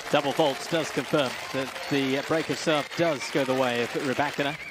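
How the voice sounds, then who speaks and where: Over crowd noise in the background, a man talks at a fairly slow pace in an upbeat tone. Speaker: tennis commentator. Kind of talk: live sports commentary on a tennis match. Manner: upbeat and fluent, with short exclamations.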